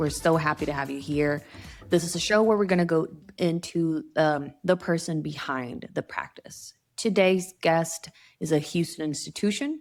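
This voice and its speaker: With music in the background, a woman with a fairly low pitch speaks at a moderate pace and ordinary pitch variation. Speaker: interview host. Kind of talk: interview questions.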